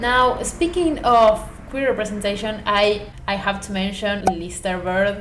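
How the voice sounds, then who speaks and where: A woman with a non-native accent speaks at a fairly slow pace, with hardly any pauses, in a medium pitch with ordinary variation. Noticeable background noise is present. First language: not English. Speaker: booktuber. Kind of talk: book review vlog. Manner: animated.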